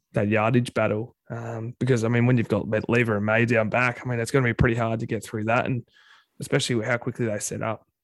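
A man's medium-pitched voice with an Australian accent, fairly quick and flat in a monotone, dry and close with no echo. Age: 30s. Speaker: football fan podcast co-host. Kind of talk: casual chat.

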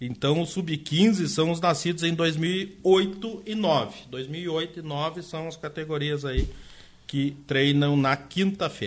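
A man speaks with a fairly high pitch. His pace is very slow. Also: ordinary pitch variation. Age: 50s. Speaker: youth football and futsal club coordinator. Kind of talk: radio interview.

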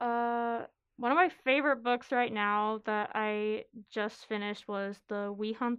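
In a normal speaking voice, a woman talks at a moderate pace. Her pitch is fairly high and her intonation fairly even. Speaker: college student and writer. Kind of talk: reading aloud.

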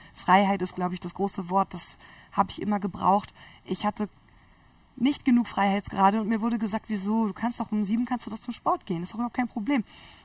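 Speaking at a very fast pace, a woman with a medium pitch and a somewhat breathy voice keeps her intonation fairly even in a dry, close sound with no echo. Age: 30s. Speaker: biologist and entrepreneur. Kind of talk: interview.

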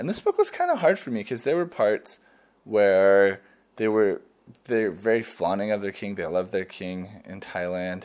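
Captured in a very clean recording with a silent background, a man with an American accent speaks in a fairly low pitch with a plain, everyday voice. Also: ordinary pitch variation, moderate pace. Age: 20s. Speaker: student podcaster. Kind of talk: casual travel monologue. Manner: casual, many fillers.

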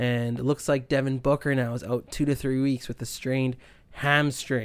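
In a Canadian Prairie accent, a man talks at a medium pitch with monotone, flat intonation on a very clean recording with a silent background. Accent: Canadian English (Prairies). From Canada (Winnipeg, Manitoba). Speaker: sports podcast host. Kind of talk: casual solo sports talk.

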